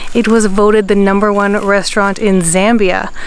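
A woman talks at a moderate pace. The recording sounds dry, with no echo. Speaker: travel vlogger. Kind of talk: casual vlog chat. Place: waterside. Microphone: phone near.

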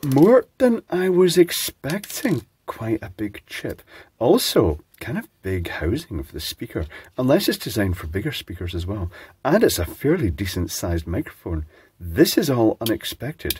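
Speaking at a medium pitch, a man makes very wide pitch swings. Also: moderate pace, big swings in loudness. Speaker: electronics teardown host. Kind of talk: casual electronics teardown talk. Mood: calm, curious. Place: workshop.

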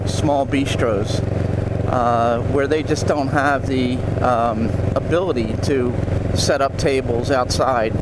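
A man talks at a fairly slow pace while loud background noise fills the clip. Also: dry sound with no echo. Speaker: local guide. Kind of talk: casual vlog commentary. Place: motorbike. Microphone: helmet.

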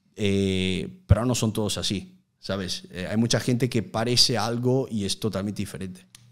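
A man with a strong Italian accent talks at a moderate pace in a fairly low voice. His intonation stays fairly even over a quiet background. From Italy, Udine near Venice; Italy. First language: Italian (speaking Spanish). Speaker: youtuber. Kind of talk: casual interview. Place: studio. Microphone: studio mic.

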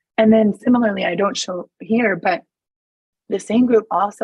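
Against a quiet background and in dry sound with no echo, a woman speaks at a moderate pace, somewhat breathy, with fairly even intonation. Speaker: pediatric neuro-oncologist; presenter. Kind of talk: conference presentation. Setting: video call. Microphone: webcam.

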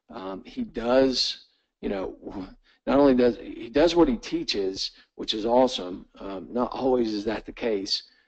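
A man talks fairly slowly in an ordinary speaking voice, at a medium pitch with ordinary pitch variation. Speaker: webinar host. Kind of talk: casual introduction. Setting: online webinar.

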